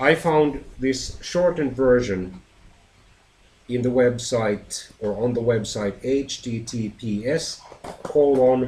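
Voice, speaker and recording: Noticeable background noise sits behind a man speaking at a very slow pace. His pitch is medium with ordinary variation. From Finland. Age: 40s. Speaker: teacher. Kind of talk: lesson presentation.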